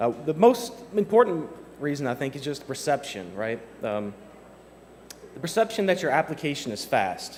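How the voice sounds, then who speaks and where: A man speaks at a moderate pace with a fairly high pitch and very wide pitch swings. Long, frequent pauses break his speech, and background noise is noticeable. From Kentucky. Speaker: software developer, conference speaker. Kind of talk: conference talk. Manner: casual with many fillers.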